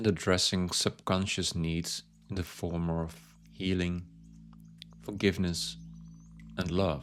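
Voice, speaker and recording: Soft-spoken delivery at a fairly slow pace, with ordinary pitch variation, long, frequent pauses, and a very clean recording with a silent background. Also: man, very deep, low pitch for a man. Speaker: meditation guide. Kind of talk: guided yoga nidra body scan. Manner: soft-spoken, slow.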